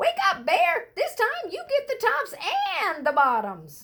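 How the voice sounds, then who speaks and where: In a put-on character voice, a woman speaks at an extremely high pitch and a fairly slow pace. Her pitch swings very widely. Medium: read story. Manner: cheery, persuasive.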